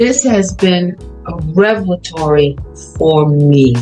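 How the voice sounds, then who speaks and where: The speech moves at a very slow pace with lively intonation, while faint music plays in the background. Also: woman. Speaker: retired academic and coach. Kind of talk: motivational talk on group video call. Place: home room. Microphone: video call.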